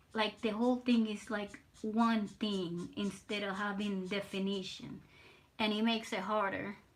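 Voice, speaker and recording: At a fairly slow pace, a woman talks in a monotone, flat intonation. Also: medium pitch for a woman. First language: Spanish. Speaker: artist streamer. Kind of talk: casual live stream chat while drawing. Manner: halting, repeats words.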